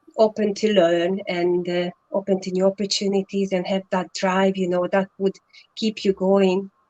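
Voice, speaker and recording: With a Hungarian accent, the speaker keeps a moderate pace and monotone, flat intonation, and the sound is dry and close with no echo. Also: woman, medium pitch for a woman. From Hungary. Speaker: online entrepreneur. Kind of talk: live stream interview.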